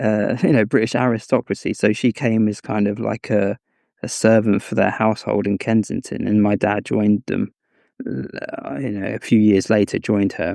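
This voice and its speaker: A man with an English accent speaks in a fairly low, dark, mellow voice, with a dry, close sound with no echo. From England (Cambridge). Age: 30s. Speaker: scholar. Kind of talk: interview conversation. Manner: halting, many fillers.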